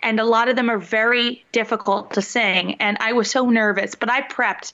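A woman with a fairly high pitch, a slight Philadelphia accent, a bright, sharp tone, fairly even intonation and a moderate pace. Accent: Philadelphia, slight twang. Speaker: singer and show host.

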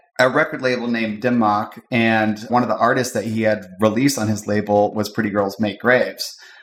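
A man speaks at a moderate pace with music playing in the background. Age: 40s. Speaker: DJ and party promoter. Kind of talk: interview.

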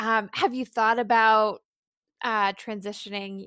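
Recorded very cleanly against a silent background, a woman talks at a fairly slow pace with a dry, close sound and no echo. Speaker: podcast host. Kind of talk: interview.

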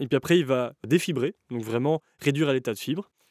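The man has an unremarkable speaking voice at a medium pitch, with ordinary pitch variation. The sound is dry and close, with no echo. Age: 20s. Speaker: clothing brand founder. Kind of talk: interview.

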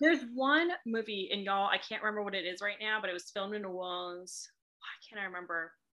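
A woman talks with an American accent. Her pitch is medium, with ordinary pitch variation. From Boston, US. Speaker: romance author. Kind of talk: casual podcast interview.

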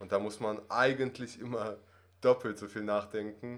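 Moderate pace, medium pitch and monotone, flat intonation from a male speaker. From Russia, moved to Germany at six. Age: 20s. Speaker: acting student. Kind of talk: interview conversation. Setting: office. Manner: hesitant, many fillers.

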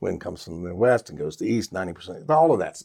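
In a very clean recording with a silent background, a man with an American accent speaks at medium pitch with very wide pitch swings. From Richmond, Virginia. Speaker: radio disc jockey. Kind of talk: casual interview chat.

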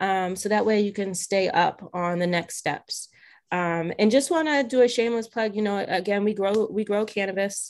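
An ordinary speaking voice from a woman with an American accent, medium pitch, ordinary pitch variation and a moderate pace, on a very clean recording with a silent background. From Massachusetts, South Shore. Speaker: community organizer and activist. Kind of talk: casual interview.

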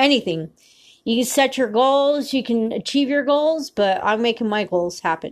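A woman's high, animated voice at a moderate pace, very even in loudness, over a quiet background. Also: lively intonation. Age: 40s. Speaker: podcast host. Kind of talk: solo monologue.

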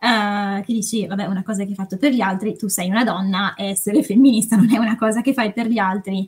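Somewhat breathy and at a medium pitch, a woman talks very fast with fairly even intonation and hardly any pauses. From northern Italy, Varese. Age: 20s. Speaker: consultant and novelist. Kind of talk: casual podcast chat.

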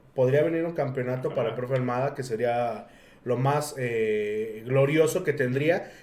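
A man is speaking here. There is audible room echo around his voice. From Pachuca, Mexico. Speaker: podcast host. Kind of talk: casual chat.

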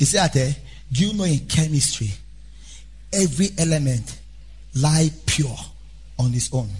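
A man speaks in an animated, somewhat breathy voice with lively intonation at a moderate pace. He leaves long, frequent pauses. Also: fairly high pitch for a man. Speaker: preacher. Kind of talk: sermon; sermon in full flow, fiery preaching with call-and-response. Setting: church. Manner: animated, emphatic, repeating key phrases; exhorting the congregation directly, urgent.

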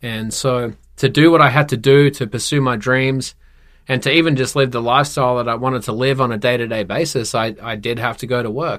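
The speaker, in an Australian accent, moves at a fairly quick pace with fairly even intonation. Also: man, medium pitch for a man. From Perth, Western Australia. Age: 30s. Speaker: tattoo studio owner, entrepreneur. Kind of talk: casual interview chat.

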